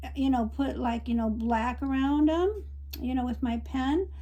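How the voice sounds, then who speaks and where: A woman talks at a moderate pace. Audible room echo is present. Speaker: watercolor art teacher. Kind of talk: tutorial. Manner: casual, hesitant with fillers.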